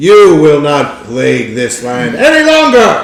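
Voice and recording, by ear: A put-on character voice from a man, fairly high in pitch with very wide pitch swings, slow, with vocal fry and strong room echo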